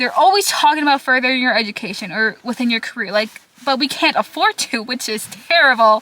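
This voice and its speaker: A woman's high-pitched voice with a Minnesota accent and ordinary pitch variation. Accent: picked up a Minnesota. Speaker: vlogger, college student. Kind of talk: casual talking vlog. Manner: rambling, filler-heavy.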